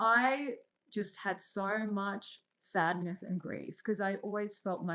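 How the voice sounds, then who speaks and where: Bright, sharp tone from a woman at medium pitch, with ordinary pitch variation and a very slow pace. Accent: Australian. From Australia, born in Iran. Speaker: entrepreneur and investor. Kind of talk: casual interview chat.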